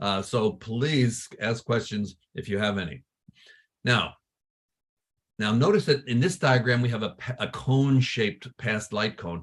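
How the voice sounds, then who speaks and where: Somewhat breathy, a man speaks at a medium pitch and fairly slow pace with ordinary pitch variation and long, frequent pauses. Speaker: astronomy professor. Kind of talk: lecture.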